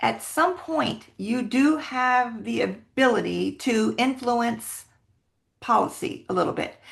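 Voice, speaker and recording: There is a quiet background. A woman speaks at a very slow pace. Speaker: military spouse advocate. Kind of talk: interview.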